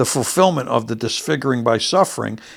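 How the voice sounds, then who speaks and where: Vocal fry runs through this man's medium-pitched voice, and his intonation is lively. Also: very clean recording, silent background. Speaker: bible teacher. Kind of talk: sermon.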